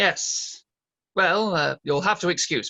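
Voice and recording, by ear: Vocal fry runs through a man's put-on character voice, pitched high with a bright, sharp tone. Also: ordinary pitch variation, fairly slow pace.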